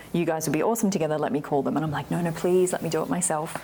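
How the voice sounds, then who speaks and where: A woman's very deep, low voice with an Australian accent and ordinary pitch variation. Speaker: winemaker. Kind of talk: oral history interview, telling her life story in a relaxed conversational way. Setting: in-person interview in a library. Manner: animated, chatty, laughs often.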